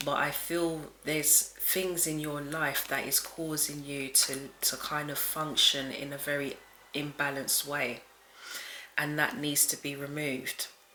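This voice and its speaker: The speaker is soft-spoken and talks at a fairly slow pace. Noticeable background noise runs underneath. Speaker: tarot reader. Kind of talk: tarot reading. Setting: at home late at night.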